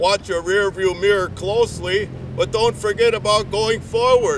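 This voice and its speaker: Noticeable background noise surrounds a man with an American accent and a high pitch. He talks at a fairly slow pace with fairly even intonation. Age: 60s. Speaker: public access TV presenter. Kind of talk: reading aloud. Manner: halting.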